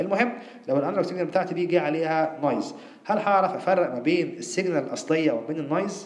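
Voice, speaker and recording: With an Egyptian accent, a man talks at a very fast pace and a high pitch with lively intonation, amid noticeable background noise and audible room echo. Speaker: university lecturer. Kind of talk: lecture.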